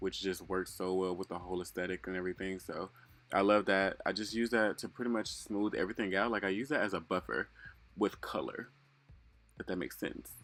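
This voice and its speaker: A man speaks fairly quickly in a fairly low pitch with fairly even intonation, an ordinary speaking voice. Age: 20s. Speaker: male beauty influencer. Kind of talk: makeup tutorial voiceover. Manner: casual, chatty.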